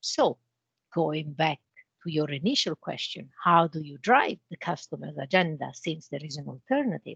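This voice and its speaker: With an Italian accent, a woman talks in a very deep, low voice with vocal fry, lively intonation, big swings in loudness and long, frequent pauses, all in a dry, close sound with no echo. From Italy. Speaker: cybersecurity channel manager. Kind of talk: interview.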